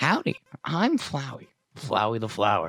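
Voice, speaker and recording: Speaking in a put-on character voice, a man performs. The pitch stays mid-range. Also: moderate pace. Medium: game stream. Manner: fake friendly.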